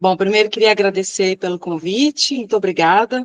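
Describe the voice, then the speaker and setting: The woman's medium-pitched voice comes across in a dry, close sound with no echo. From Minas Gerais, Brazil. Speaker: civil engineer and professor. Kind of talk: interview. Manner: hesitant fillers.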